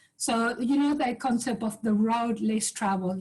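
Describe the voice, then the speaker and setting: A woman speaks in an Uruguayan accent at a moderate pace, her voice somewhat breathy. Her pitch sits fairly high, with ordinary pitch variation. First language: Spanish. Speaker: professor and business leader. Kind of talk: panel webinar talk.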